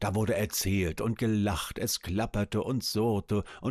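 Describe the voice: The intonation in this plain reading aloud is fairly even.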